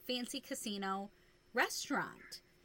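A woman's raised, projected voice, bright and sharp in tone, at a fairly slow pace. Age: 30s. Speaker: podcast co-host. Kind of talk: casual chat.

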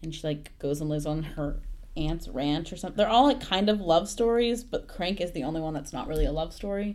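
Speaking with an American accent, a woman keeps a fairly quick pace and lively intonation. There is audible room echo. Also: fairly low pitch for a woman. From Texas. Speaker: college student. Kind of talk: casual chat.

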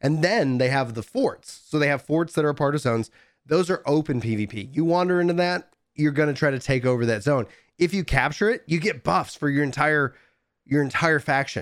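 In an American accent, a man with an ordinary speaking voice talks at a fairly quick pace with fairly high pitch and lively intonation, on a very clean recording with a silent background. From East Texas. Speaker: gaming podcast host. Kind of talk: casual chat.

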